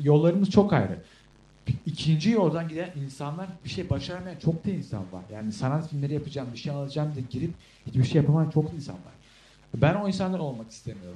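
A man with a dark, mellow, somewhat breathy tone talks very fast, his intonation lively and his loudness swinging widely. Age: young. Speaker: podcast co-host, film student. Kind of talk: casual chat.

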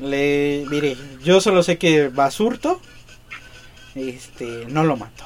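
There is noticeable background noise as a man with a fairly high pitch speaks at a very slow pace. He takes long, frequent pauses and uses ordinary pitch variation. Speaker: podcast co-host, comedian. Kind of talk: casual comedic chat.

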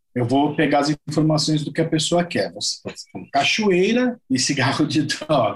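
This man's voice sits fairly high and is somewhat breathy, moving at a moderate pace with lively intonation and hardly any pauses. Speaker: musician. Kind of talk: casual chat.

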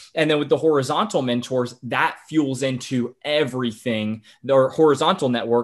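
A man talks in a normal speaking voice at medium pitch. His pitch varies in an ordinary way. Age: 20s. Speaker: podcaster and young entrepreneur. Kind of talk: interview conversation.

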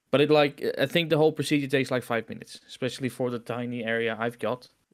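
Delivered at a very fast pace with a Dutch accent, the speech has monotone, flat intonation. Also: man, very clean recording, silent background. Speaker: podcast co-host. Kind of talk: casual chat.

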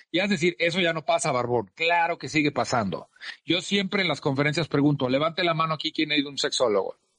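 Bright and sharp in tone, a man speaks very fast and animated at a fairly high pitch with ordinary pitch variation, the sound dry and close with no echo. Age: 40s. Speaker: speaker and author. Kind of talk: casual interview chat.

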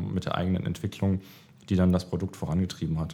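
This man's voice is very deep and low-pitched. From Baden-Württemberg, Germany. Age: 30s. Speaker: management consultant. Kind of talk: interview. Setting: office.

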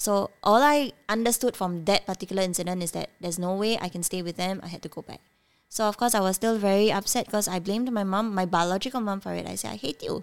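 On a very clean recording with a silent background, a woman talks at a very fast pace at medium pitch with ordinary variation. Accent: Cantonese. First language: Cantonese. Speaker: nonprofit co-founder. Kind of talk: casual interview, personal story.

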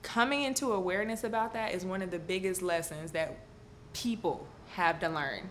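In a room with audible echo, a woman talks in an animated tone at a moderate pace, her pitch medium with ordinary variation. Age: 20s. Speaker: podcast host. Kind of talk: casual chat.

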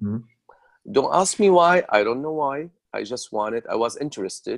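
Against a silent background on a very clean recording, a man with an Arabic accent speaks with lively intonation. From Syria. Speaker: hair colorist. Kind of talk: interview.

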